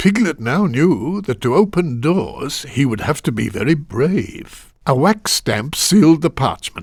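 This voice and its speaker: A man's fairly high voice with vocal fry, very wide pitch swings and a fairly slow pace, on a very clean recording with a silent background. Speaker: voice actor. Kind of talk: children's video game narration. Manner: comforting, gentle.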